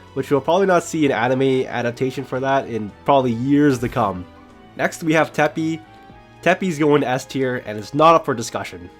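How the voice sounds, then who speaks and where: A man talks at a fairly quick pace in a medium pitch with an upbeat tone and ordinary pitch variation. Music plays in the background. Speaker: anime YouTuber. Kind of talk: casual anime commentary to camera. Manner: casual, upbeat.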